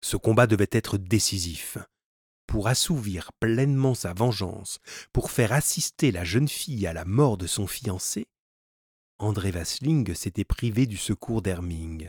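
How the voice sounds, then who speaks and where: Very slowly and with lively intonation, a man speaks in a fairly low, somewhat breathy voice, the recording very clean, dry and close, with a silent background and no echo. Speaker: audiobook narrator. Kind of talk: dramatic narration of an adventure novel, reading aloud. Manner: animated, tense, urgent pacing in fight scenes.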